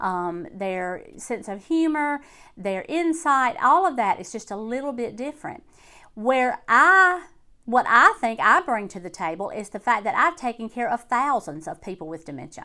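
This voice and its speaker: On a very clean recording with a silent background, a woman with an Alabama accent speaks at a moderate pace in a high, bright, sharp voice, with very wide pitch swings and big swings in loudness. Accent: Southern US (Alabama). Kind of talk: casual talk to camera.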